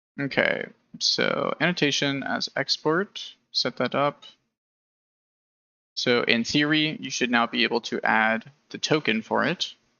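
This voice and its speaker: Mumbling at a fairly slow pace, a man speaks with long, frequent pauses. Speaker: game engine developer live streamer. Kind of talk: live coding stream commentary. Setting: live stream at computer. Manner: casual, hesitant; mumbling while programming. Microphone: audio cutting out, noise gate clipping quiet speech.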